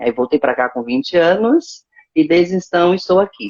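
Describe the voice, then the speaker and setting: A woman speaks at a moderate pace. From Brazil, Guarulhos and Recife (Pernambuco). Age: 40s. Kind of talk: interview. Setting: at home, live stream.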